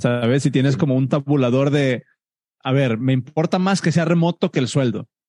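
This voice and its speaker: A man with a Mexican accent speaks at a moderate pace in a fairly high, dark and mellow voice, keeping his loudness very even and his pitch variation ordinary, with a dry, close sound and no echo. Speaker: software engineer and podcast host. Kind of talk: group Q&A session.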